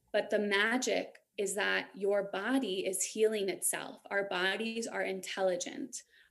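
A woman's medium-pitched voice with vocal fry, fairly even intonation, and a fairly slow pace with hardly any pauses. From New York. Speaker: Reiki master and empowerment coach. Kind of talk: casual interview chat.

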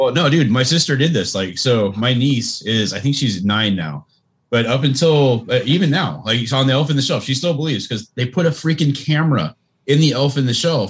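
A man speaks at a fairly quick pace with lively intonation, very even loudness and a somewhat breathy sound. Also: medium pitch for a man. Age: 40s. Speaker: podcast co-host. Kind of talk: casual chat. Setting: video call.

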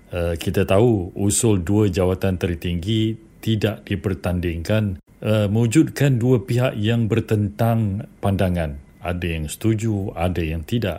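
The voice has a dark, mellow tone and moves at a fairly slow pace with hardly any pauses. The recording is very clean, with a silent background. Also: man, fairly low pitch for a man, ordinary pitch variation. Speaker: journalist, head of a news video unit. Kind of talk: political news analysis on radio.

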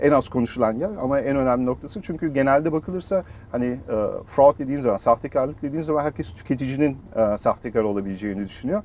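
Rattling along at a very fast pace, a man speaks in a medium pitch with lively intonation. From Germany. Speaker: startup founder and CEO. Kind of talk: interview.

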